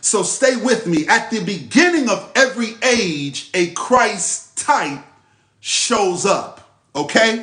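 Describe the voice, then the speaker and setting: A man talks very slowly in a high pitch. His pitch swings very widely. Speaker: spiritual teacher. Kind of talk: live religious teaching session. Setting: livestream. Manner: repetitive, emphatic; slow, deliberate when reading scripture.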